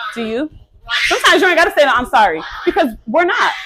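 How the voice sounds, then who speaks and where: Someone shouts in an American accent, with very wide pitch swings and noticeable background noise. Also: woman. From Connecticut, USA. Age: 20s. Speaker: mother, lifestyle vlogger. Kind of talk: casual talk to camera.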